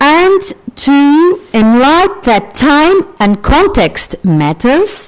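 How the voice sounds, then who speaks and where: A woman speaks at a very slow pace in a high voice. Her pitch swings very widely. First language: Portuguese. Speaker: sociologist, conference speaker. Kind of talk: academic conference talk. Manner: halting, with fillers.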